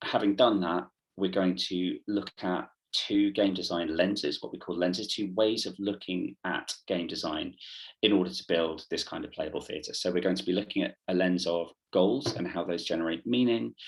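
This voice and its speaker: A man with a British accent talks at a very deep, low pitch with ordinary pitch variation. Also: moderate pace. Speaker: theatre workshop leader. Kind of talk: online workshop presentation. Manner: hesitant, many fillers.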